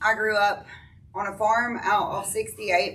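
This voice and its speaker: Loud, with a bright, sharp tone and an American accent, a woman speaks amid audible room echo. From US South, East Tennessee (Sweetwater, Athens). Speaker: person in addiction recovery. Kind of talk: testimony. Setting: church recovery meeting, speaking to audience.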